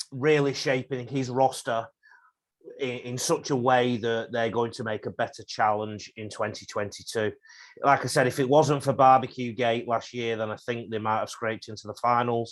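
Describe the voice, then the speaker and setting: A man with an English accent speaks in a fairly even intonation. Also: medium pitch for a man, moderate pace. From England. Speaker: rugby league coach. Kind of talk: podcast interview.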